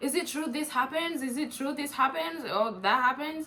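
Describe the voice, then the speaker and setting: In an African accent, a woman talks with a high pitch and an animated tone. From East Africa, grew up in Uganda. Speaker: YouTuber. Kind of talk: casual chat.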